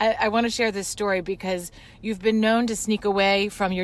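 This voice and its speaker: A woman in a normal speaking voice, at a moderate pace with fairly even intonation. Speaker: podcast host, business coach. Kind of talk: interview question.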